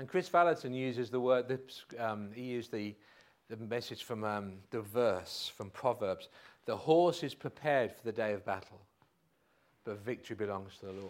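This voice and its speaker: A moderate pace with big swings in loudness and ordinary pitch variation. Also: man, medium pitch for a man. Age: 50s. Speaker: pastor. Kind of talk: sermon. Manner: halting.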